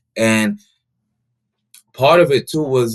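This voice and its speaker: His pitch moves in an ordinary way. The speaker is a man with an American accent. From St. Kitts and the Bronx, New York. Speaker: runner and community leader. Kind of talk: podcast interview.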